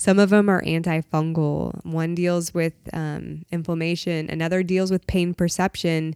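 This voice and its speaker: A woman with an American accent uses a normal speaking voice at a fairly low pitch and moderate pace, in a very clean recording with a silent background and a dry, close sound with no echo. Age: 30s. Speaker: CBD shop owner. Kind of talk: casual interview chat.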